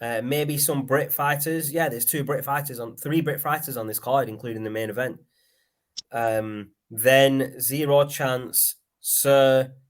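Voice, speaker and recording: A man with a Lancashire accent speaks at a fairly slow pace with fairly even intonation. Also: medium pitch for a man. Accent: Lancashire accent, mistaken for Liverpool. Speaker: podcast host. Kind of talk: casual chat. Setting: live stream.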